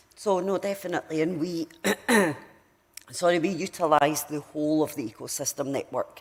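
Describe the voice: A woman's put-on character voice, very deep and low, croaky, raspy and hoarse, at a moderate pace with long, frequent pauses.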